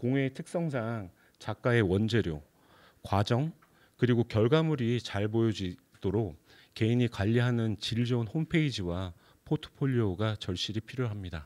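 A man with a medium-pitched voice talks at a fairly slow pace, his intonation lively. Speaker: arts management company head, lecturer; guest lecturer. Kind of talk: lecture. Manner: seated, speaking at length. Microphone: handheld.

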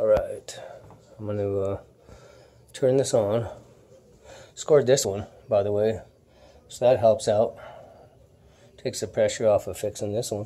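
Long, frequent pauses break up a man's speech, which otherwise keeps a moderate pace. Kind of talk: casual vlog chat. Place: home room. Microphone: phone near.

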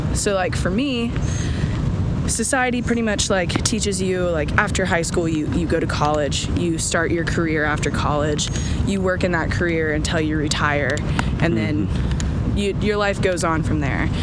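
At a moderate pace, the speech has a dry sound with no echo over loud background noise. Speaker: interview guest. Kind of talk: interview answer. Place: street. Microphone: phone near.

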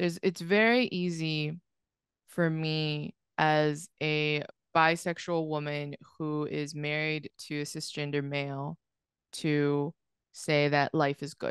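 A woman with a very deep, low pitch and an American accent speaks at a very slow pace with fairly even intonation, the sound dry with no echo and the background quiet. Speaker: podcast guest. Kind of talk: casual interview. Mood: reflective, earnest. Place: home room. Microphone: studio mic.

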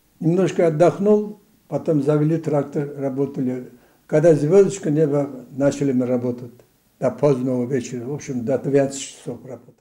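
A man's dark, mellow tone with big swings in loudness and ordinary pitch variation, against a quiet background. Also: moderate pace. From Dagestan, Khasavyurt district. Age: 80s+. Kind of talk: interview answer. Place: office.

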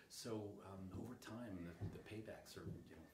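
At a moderate pace, a man talks in a fairly low voice with ordinary pitch variation while faint music plays in the background. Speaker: insulation contractor. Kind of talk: interview answer. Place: empty room.

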